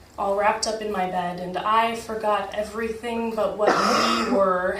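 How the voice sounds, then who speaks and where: A woman's medium-pitched, monotone voice with flat intonation, a fairly slow pace and noticeable background noise. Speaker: slam poet. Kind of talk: poetry slam performance. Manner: emotional, tearful.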